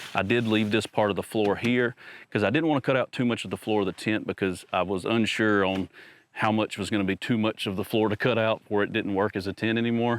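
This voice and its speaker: An enthusiastic man with a fairly low pitch talks at a very fast pace and very even loudness. The sound is dry and close, with no echo. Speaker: camping YouTuber. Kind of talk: vlog tutorial. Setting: inside truck bed tent. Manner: casual, enthusiastic.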